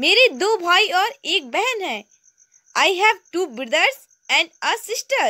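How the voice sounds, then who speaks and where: Her raised, projected voice is extremely high, bright and sharp, with very wide pitch swings and long, frequent pauses from this woman. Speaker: English teacher on a video channel. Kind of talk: tutorial. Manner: slow, repetitive drilling.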